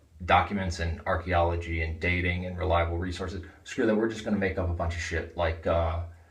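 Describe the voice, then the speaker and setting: Very fast and in a flat monotone, a man with a very deep, low voice speaks amid audible room echo. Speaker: religious video blogger. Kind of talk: casual vlog monologue.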